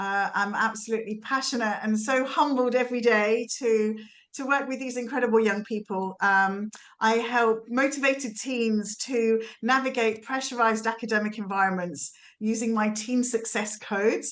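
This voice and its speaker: A woman with a British accent at a moderate pace, using fairly even intonation. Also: fairly high pitch for a woman. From England, just outside London. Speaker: youth coach. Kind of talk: self-introduction.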